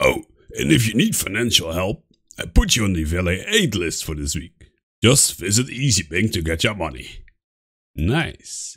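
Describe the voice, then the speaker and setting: A man's put-on character voice, fairly low in pitch with very wide pitch swings, at a moderate pace with long, frequent pauses. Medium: role play.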